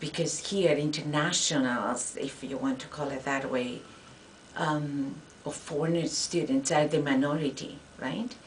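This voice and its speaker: A woman with a Spanish accent and a very deep, low voice talks fairly slowly with fairly even intonation, amid audible room echo and noticeable background noise. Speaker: Spanish professor. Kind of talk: interview. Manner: halting.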